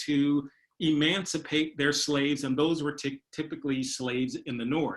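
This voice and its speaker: A man with an ordinary speaking voice talks at a fairly high pitch with ordinary pitch variation. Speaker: historian presenter. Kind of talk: lecture.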